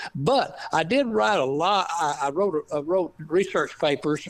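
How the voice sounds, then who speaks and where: A man speaks with an East Texas accent. His pitch sits fairly high. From East Texas, Piney Woods. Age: 80s+. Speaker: author and retired scientist. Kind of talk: interview. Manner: halting, many fillers.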